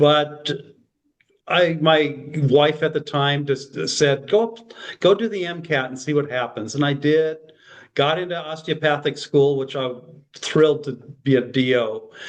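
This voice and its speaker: A man with an American accent speaks at a fairly high pitch, with ordinary pitch variation and long, frequent pauses. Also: fairly slow pace. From Minnesota. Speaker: physician. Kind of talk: podcast interview.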